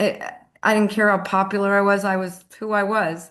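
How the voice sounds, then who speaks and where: Speaking at a moderate pace, a woman has a medium pitch. Hers is a plain, everyday voice. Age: 60s. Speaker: audience member. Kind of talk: casual chat. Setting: video call.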